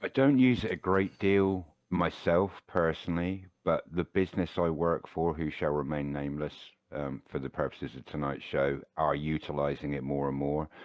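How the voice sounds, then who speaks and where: With a British accent, a man speaks at a very deep, low pitch. His pace is moderate, and his pitch variation is ordinary. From Britain. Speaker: chef working in hospitality. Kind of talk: casual chat.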